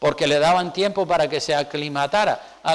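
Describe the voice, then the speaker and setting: In a Canarian accent, a man speaks at a moderate pace with a high pitch and ordinary pitch variation. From Canary Islands, Spain. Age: 60s. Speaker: pastor. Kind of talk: sermon.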